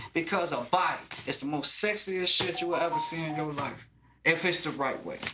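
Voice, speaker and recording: A man with a high pitch talks at a fairly quick pace in an animated tone. His pitch variation is ordinary, and background noise is noticeable. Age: 40s. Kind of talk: casual chat.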